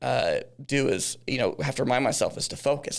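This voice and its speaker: A man with a slight Texan accent speaks on a very clean recording with a silent background. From Texas, Dallas-Fort Worth area. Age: 40s. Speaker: business founder. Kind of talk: podcast interview. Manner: halting, many fillers and restarts.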